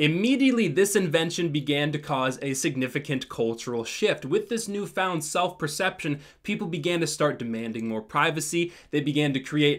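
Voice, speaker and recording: Against a quiet background, a man talks at a moderate pace with hardly any pauses. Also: lively intonation. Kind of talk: comedic commentary. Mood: ironic, mock-serious. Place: home room.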